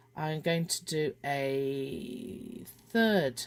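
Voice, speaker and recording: Someone with a British accent is heard in a very clean recording with a silent background. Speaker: crochet designer and tutor. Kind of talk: tutorial.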